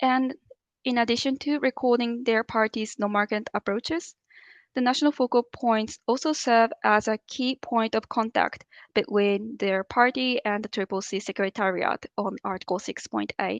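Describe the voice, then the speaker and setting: Heard in a dry, close sound with no echo and a quiet background, a woman has a normal speaking voice, fairly high pitch, a moderate pace and ordinary pitch variation. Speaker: climate policy official. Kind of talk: training presentation.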